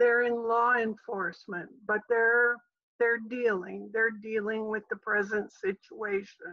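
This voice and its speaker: A very slow, fairly high-pitched woman with an American accent. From Michigan, Saginaw. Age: 70s. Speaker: church volunteer camera operator. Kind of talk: casual interview.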